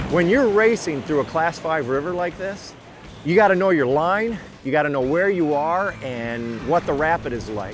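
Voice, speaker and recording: With music in the background, a man speaks at a moderate pace, his fairly high pitch swinging very widely. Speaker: old adventure storyteller. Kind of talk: reflective narration to camera.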